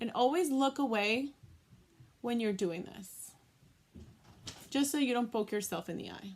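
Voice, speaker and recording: A woman with an American accent speaks at a moderate pace, with long, frequent pauses. Her pitch is high, her intonation lively, and her loudness swings widely. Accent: Boston accent, occasional. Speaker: beauty vlogger. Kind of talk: tutorial. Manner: casual, many fillers.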